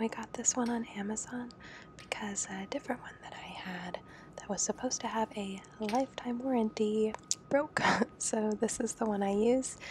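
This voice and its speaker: Soft-spoken and relaxed in tone, a woman talks at a moderate pace in a fairly high pitch with fairly even intonation and big swings in loudness over noticeable background noise. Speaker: home coffee maker showing her routine. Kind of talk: ASMR soft-spoken tutorial. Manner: soft-spoken, relaxed.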